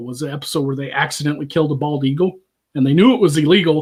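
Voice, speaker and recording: A man with an American accent talks at a very fast pace in a fairly high, somewhat breathy voice. His pitch varies in an ordinary way. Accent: Southern accent, lighter online. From US South, Arkansas. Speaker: streamer and commentary host. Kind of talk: casual chat. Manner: animated.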